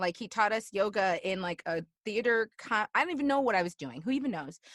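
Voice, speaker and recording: A woman with a Chicago accent speaks at a fairly quick pace with a fairly high pitch. Her tone is animated, her intonation lively, and the sound dry and close with no echo. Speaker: alumni guest, fitness instructor and motivational speaker. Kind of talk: casual interview. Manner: animated, many fillers.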